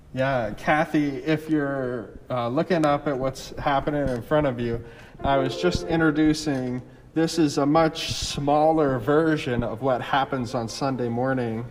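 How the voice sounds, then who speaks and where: Over noticeable background noise, a man with fairly high pitch talks fairly slowly with ordinary pitch variation. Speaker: church media technician. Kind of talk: casual chat. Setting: livestream with zoom. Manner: loud.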